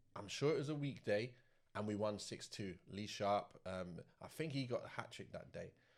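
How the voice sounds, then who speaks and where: The speaker is a man with a southern English accent. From South London. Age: 40s. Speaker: former professional footballer. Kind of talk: interview storytelling. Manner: casual.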